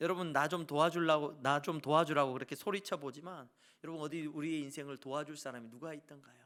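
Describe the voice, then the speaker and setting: A man's fairly high-pitched voice at a fairly quick pace with ordinary pitch variation, in a very clean recording with a silent background. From South Korea, Jeolla (Suncheon). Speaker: pastor. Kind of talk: sermon.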